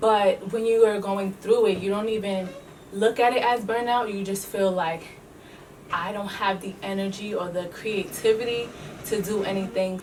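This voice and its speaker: Over noticeable background noise, a woman with a New York accent talks at a moderate pace in a medium-pitched, monotone, flat voice. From New York City. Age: 20s. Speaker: beauty entrepreneur and teacher. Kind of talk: casual talk to camera.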